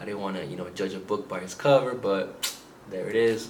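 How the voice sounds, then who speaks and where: Audible room echo surrounds a man with a fairly low pitch. His pitch varies in an ordinary way. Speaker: book reviewer. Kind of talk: casual video monologue. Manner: halting, many fillers.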